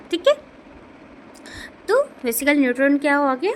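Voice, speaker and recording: Over noticeable background noise, a woman with a non-native accent speaks with very wide pitch swings. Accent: non-native Hindi. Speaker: nursing tutor, YouTuber. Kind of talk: tutorial. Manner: halting, with fillers.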